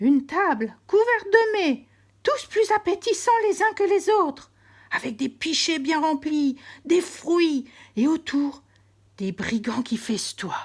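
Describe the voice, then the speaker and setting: Putting on a character voice, a woman talks at a fairly slow pace in an extremely high pitch with very wide pitch swings. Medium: read story.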